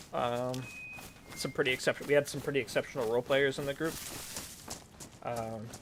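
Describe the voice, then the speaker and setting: Fairly quick speech with an American accent, long and frequent pauses, and noticeable background noise. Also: man, medium pitch for a man. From US South. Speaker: streamer and roleplay gamer. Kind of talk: live game stream with roleplay.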